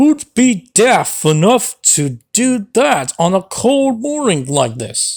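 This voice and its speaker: This female-sounding voice, put on as a character, is fairly high and rumbling, moving very slowly with very wide pitch swings. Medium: read story. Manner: grumbling, huffy.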